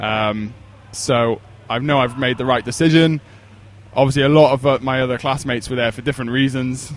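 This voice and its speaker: Speaking with a Welsh accent, a man keeps a medium pitch and fairly even intonation at a fairly quick pace. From Wales, Pembrokeshire. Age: 20s. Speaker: endurance coach. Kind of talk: podcast interview.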